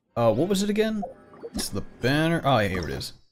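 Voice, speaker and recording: Audible room echo surrounds a man speaking at a fairly quick pace. His pitch swings very widely. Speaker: vtuber streamer. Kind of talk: casual chat. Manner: animated.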